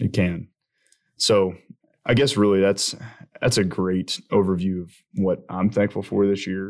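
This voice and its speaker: A man with a Southern US accent speaks in a very deep, low voice at a moderate pace. His intonation is monotone and flat, on a very clean recording with a silent background. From Alabama. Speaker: agriculture podcast co-host. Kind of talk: casual chat.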